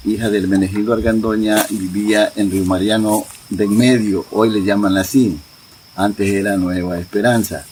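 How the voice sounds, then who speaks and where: A man's intonation stays fairly even as noticeable background noise continues. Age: 70s. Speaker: community elder. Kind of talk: oral history interview.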